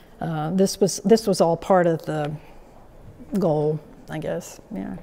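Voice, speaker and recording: Fairly low in pitch, this woman's voice has a dark, mellow tone and vocal fry. Her intonation stays fairly even. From South Carolina. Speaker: painter, sculptor and art teacher; art teacher. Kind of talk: artist talk to an audience. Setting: gallery with live audience. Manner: halting, many fillers. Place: hall.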